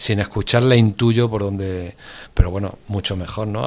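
A man's unremarkable speaking voice, fairly low in pitch, with fairly even intonation and a fairly quick pace. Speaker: radio presenter. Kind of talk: casual interview.

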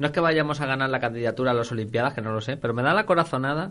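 A man talks at a very fast pace with a medium pitch and ordinary pitch variation. The background is quiet. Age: 30s. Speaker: radio host. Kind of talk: casual chat. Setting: studio.

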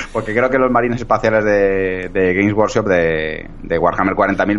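A man's fairly low voice with very even loudness, fairly even intonation and hardly any pauses. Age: 40s. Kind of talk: casual chat.

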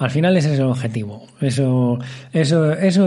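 A man's dark, mellow tone with audible room echo. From Spain, Valladolid province. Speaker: podcast host, patient with muscular dystrophy. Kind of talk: casual interview conversation.

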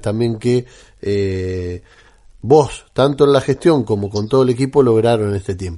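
A man with a dark, mellow tone talks at a fairly slow pace. His intonation is lively, and the background is quiet. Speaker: radio host. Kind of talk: radio interview. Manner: hesitant, many fillers.

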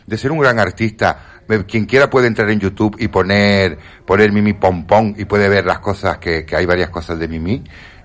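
This man speaks with a very deep, low pitch. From Canary Islands. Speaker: entertainer and radio panelist. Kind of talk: casual chat.

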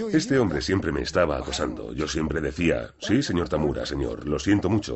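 The voice moves at a fairly quick pace with very wide pitch swings. Vocal fry runs through it. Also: man. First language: Japanese (speaking Spanish). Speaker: yakuza boss. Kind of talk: documentary interview.

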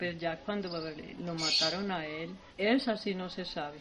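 Speaking at a fairly slow pace, a woman uses a medium pitch and fairly even intonation against noticeable background noise. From Antioquia, Colombia. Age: 70s. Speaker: farmer. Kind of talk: testimony.

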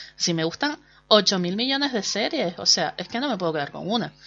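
A woman speaks with a Canarian accent. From Canary Islands, Spain. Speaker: podcast host and blogger. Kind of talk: casual monologue. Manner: chatty, hesitant with fillers.

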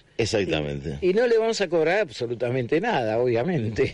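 Very wide pitch swings from a man speaking at a fairly quick pace. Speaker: radio host. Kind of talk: radio interview.

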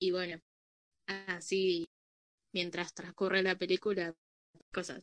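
Speaking at a very slow pace with long, frequent pauses, a woman holds a monotone, flat intonation at medium pitch, the sound dry and close with no echo. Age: 20s. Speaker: photographer. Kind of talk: casual group conversation.

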